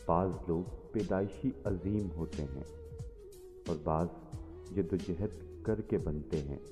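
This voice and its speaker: With music playing in the background, a man speaks at a very deep, low pitch with ordinary pitch variation. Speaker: voice over artist. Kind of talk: motivational quote reading.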